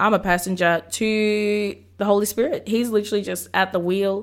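A woman speaks at medium pitch in a passionate, animated tone, captured in a very clean recording with a silent background. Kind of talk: sermon-style devotional talk. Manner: energetic, preacher-like.

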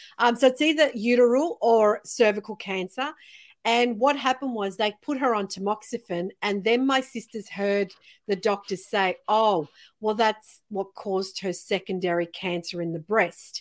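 Against a very clean recording with a silent background, a woman with an unremarkable speaking voice talks at a moderate pace and a fairly high pitch, using ordinary pitch variation. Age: 50s. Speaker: podcast host. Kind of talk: casual interview chat.

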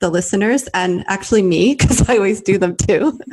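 A woman talks in an ordinary speaking voice at a medium pitch. Her pitch varies in an ordinary way against a quiet background. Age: 40s. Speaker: podcast host. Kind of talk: casual interview chat.

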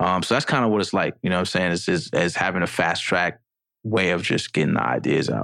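A man with an American accent talks at a very fast pace in a very deep, low pitch with vocal fry. His tone is bright and sharp, his intonation lively, and his loudness very even. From New York City. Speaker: rapper. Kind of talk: casual chat.

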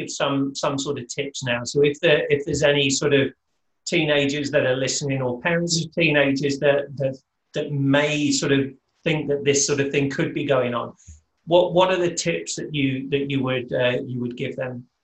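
A man talks in a somewhat breathy, fairly high voice. His intonation is fairly even and his pace moderate. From Britain. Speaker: podcast host. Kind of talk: interview. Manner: halting, frequent word repetitions.

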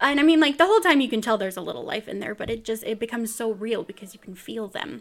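A woman with an American accent speaks at a very fast pace in a fairly high pitch, her delivery animated, her intonation lively and her loudness swinging widely. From US West Coast (Bakersfield, California, Central Valley). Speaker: podcast host. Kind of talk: casual chat. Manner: animated, frequent laughter.

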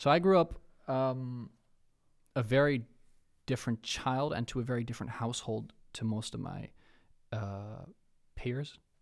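A man with a Dutch accent at medium pitch, moderate pace and ordinary pitch variation, with long, frequent pauses, on a very clean recording with a silent background. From Netherlands. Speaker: rapper and creative entrepreneur. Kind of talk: casual chat.

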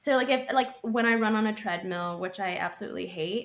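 Here a woman with a plain, everyday voice speaks at a fairly quick pace, with medium pitch and ordinary pitch variation. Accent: American. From Texas (Austin). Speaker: chef and food stylist. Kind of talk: casual chat.

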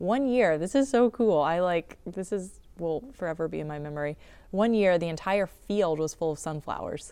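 A woman with an American accent, dark, mellow tone, fairly low pitch and ordinary pitch variation, in a very clean recording with a silent background. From southeastern North Carolina (sand hills). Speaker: urban farm manager and nonprofit director. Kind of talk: casual interview. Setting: greenhouse.

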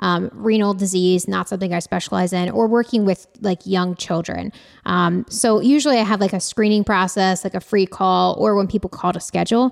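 A woman talks at a medium pitch at a fairly quick pace, with hardly any pauses and ordinary pitch variation. She has a normal speaking voice, and the recording is very clean, with a silent background and a dry, close sound with no echo. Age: 30s. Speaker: dietitian in private practice. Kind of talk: casual chat.

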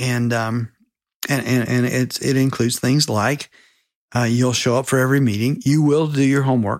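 This is a plain, everyday voice with an American accent, speaking at a moderate pace with fairly even intonation. The recording is very clean, with a silent background. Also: man, medium pitch for a man. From South Carolina. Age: 60s. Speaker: mentor and author. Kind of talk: casual interview.

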